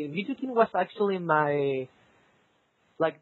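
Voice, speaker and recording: At a fairly slow pace, a man speaks with a Spanish accent. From South America. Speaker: competitive gamer. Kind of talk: interview. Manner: halting.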